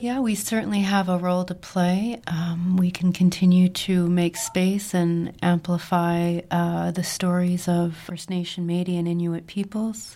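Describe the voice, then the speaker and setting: Her voice has a dark, mellow tone and sits at a fairly low pitch for a woman. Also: fairly even intonation, fairly slow pace, hardly any pauses. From rural Saskatchewan, Canada (Indian Head). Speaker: book editor. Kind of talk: interview answers.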